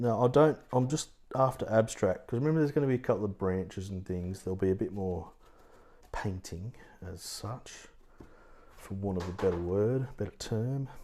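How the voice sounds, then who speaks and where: In a very clean recording with a silent background, a man with an Australian accent speaks in a dark, mellow tone with ordinary pitch variation. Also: fairly low pitch for a man, moderate pace. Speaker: watercolour art teacher. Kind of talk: live painting tutorial. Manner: casual, thinking aloud; quiet at times.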